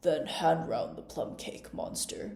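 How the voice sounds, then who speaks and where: A gruff, put-on character voice moves at a fairly slow pace with a slight echo. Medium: read story. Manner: lazy, yawning, gruff.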